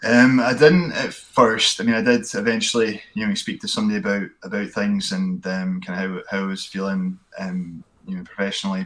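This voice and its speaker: Hardly pausing at all, a man's speech runs along at a fairly quick pace. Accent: Scottish. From Scotland, Fife (Glenrothes). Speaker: podcast guest, hillwalker. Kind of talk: casual chat.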